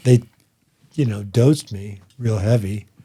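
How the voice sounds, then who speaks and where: A man with an American accent. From Boulder, Colorado. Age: 60s. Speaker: stand-up comedian. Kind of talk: casual chat.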